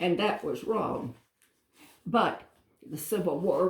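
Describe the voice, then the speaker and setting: Somewhat breathy and at medium pitch, a woman speaks at a fairly slow pace. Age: 80s+. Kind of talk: interview answer.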